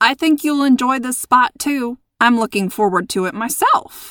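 On a very clean recording with a silent background, a put-on character voice with lively intonation moves at a moderate pace in a dry, close sound with no echo. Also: woman, high pitch for a woman. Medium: read story. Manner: calm, matter-of-fact.

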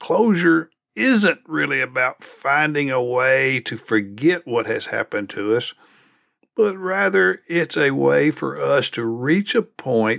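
A man's medium-pitched voice at a very slow pace, on a very clean recording with a silent background. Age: 60s. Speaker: leadership podcast host and consultant. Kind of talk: solo reflective monologue.

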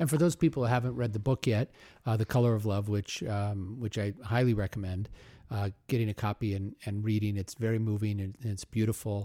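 In an American accent, a man speaks at a fairly quick pace in a fairly low voice with a dark, mellow tone, recorded dry and close with no echo on a very clean recording with a silent background. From Omaha, US Midwest. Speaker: podcast host. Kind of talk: interview.

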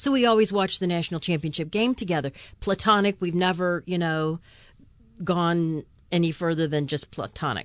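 Against a quiet background, a woman with a plain, everyday voice speaks at a moderate pace, with a fairly low pitch and ordinary pitch variation. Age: 60s. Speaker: podcast host. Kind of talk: casual chat.

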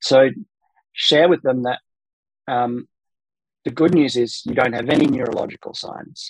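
A man with an Australian accent at a medium pitch and moderate pace, ordinary pitch variation, dry and close with no echo. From South Australia, Adelaide. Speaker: pain researcher and physiotherapist. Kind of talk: interview, expert explanation.

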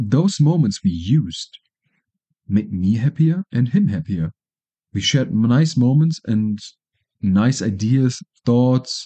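A man in a German accent, with ordinary pitch variation. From Germany. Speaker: podcaster. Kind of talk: casual monologue.

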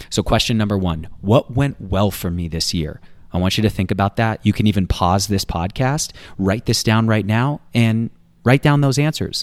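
A man with an ordinary speaking voice, fairly low in pitch, with ordinary pitch variation at a moderate pace. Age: 30s. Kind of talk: personal development tip; devotional teaching.

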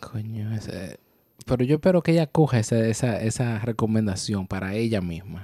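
A man speaks at medium pitch with a dark, mellow tone. His pace is moderate and his intonation lively. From Dominican Republic. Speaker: podcast co-host. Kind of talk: casual chat. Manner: animated.

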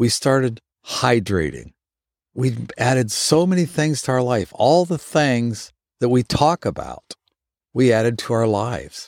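Speaking fairly slowly with lively intonation, a man uses a normal speaking voice at a medium pitch, the sound dry and close with no echo. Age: 60s. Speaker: fitness instructor. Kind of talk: motivational talk.

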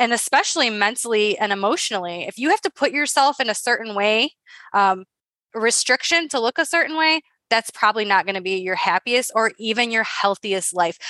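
A woman's fairly high voice with a bright, sharp tone and lively intonation. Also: fairly quick pace, dry, close sound with no echo, quiet background. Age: 30s. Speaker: podcast co-host, coach. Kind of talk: casual chat.

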